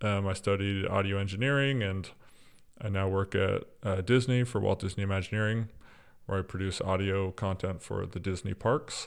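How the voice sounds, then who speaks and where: Here a man speaks at a moderate pace in an ordinary speaking voice. His pitch is fairly low. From US South, East Texas. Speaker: audio producer and former church worship leader. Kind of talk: casual interview conversation. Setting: remote recording.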